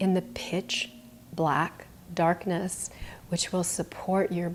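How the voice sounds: A woman speaks at a fairly slow pace with a fairly low pitch. Her tone is slightly mellow.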